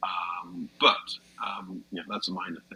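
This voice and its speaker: A man speaks with a British accent. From Britain. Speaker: comedian. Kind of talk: casual chat.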